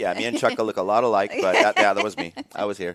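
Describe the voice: A man speaks at a very fast pace. He has a Southern Californian accent.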